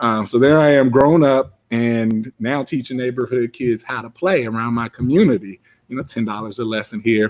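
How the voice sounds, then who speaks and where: In a very clean recording with a silent background, a man with an American accent and a normal speaking voice talks at a moderate pace, with medium pitch and ordinary pitch variation. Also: hardly any pauses. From Southern California, Long Beach area. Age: 30s. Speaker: entrepreneur. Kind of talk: motivational talk.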